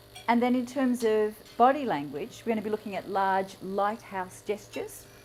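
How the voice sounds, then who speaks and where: With lively intonation and a moderate pace, the woman has an unremarkable speaking voice. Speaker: public speaking coach. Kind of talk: talk to a live audience.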